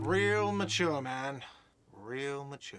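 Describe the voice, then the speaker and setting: A put-on character voice shouts in a whiny tone. The pitch varies in an ordinary way. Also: man. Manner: shouting, whiny.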